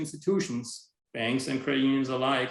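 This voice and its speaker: Speaking fairly quickly, a man uses a plain, everyday voice at a medium pitch. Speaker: information security officer. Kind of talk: webinar presentation.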